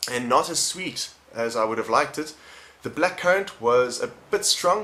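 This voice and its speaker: This man speaks with a South African accent. He talks at a fairly quick pace with ordinary pitch variation. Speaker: vape reviewer. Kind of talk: product review. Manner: casual, conversational.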